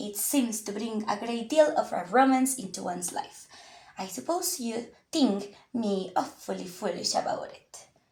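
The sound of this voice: This is an unforced reading voice. It carries the words along without strain.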